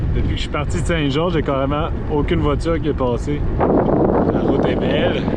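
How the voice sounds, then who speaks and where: A man speaks at a moderate pace and very even loudness, with audible room echo and noticeable background noise. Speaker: cycle touring vlogger. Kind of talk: travel vlog. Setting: outdoors on a bike. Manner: casual.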